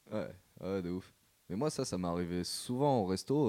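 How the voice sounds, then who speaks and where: A dark, mellow tone carries speech delivered at a moderate pace. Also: man. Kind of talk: casual chat.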